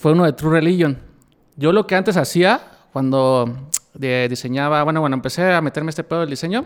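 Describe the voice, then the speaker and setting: A man with an ordinary speaking voice, fairly high in pitch, at a moderate pace with ordinary pitch variation. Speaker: denim designer. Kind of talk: casual interview chat.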